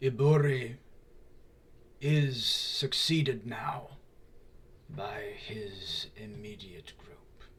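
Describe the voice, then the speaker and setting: Putting on a character voice, a man sounds raspy at a medium pitch, talking very slowly with long, frequent pauses. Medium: actual play. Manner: formal, grave, measured.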